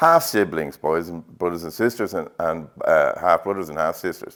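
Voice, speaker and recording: A man with a Dublin accent at a moderate pace, in a very clean recording with a silent background. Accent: Dublin Irish. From Ireland, north Dublin. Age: 60s. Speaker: painter. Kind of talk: interview. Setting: art exhibition. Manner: halting, with fillers.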